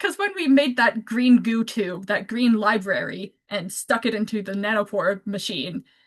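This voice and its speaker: A woman with a fairly high, somewhat breathy voice speaks at a moderate pace with ordinary pitch variation and hardly any pauses. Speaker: community science presenter. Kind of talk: presentation. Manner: casual, filler-heavy.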